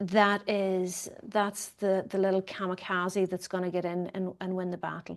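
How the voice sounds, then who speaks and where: With an Irish accent, a woman speaks in a monotone, flat intonation at a medium pitch. Her pace is fairly slow, with hardly any pauses. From Ireland. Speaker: economist and commentator. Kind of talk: interview conversation. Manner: hesitant, with fillers.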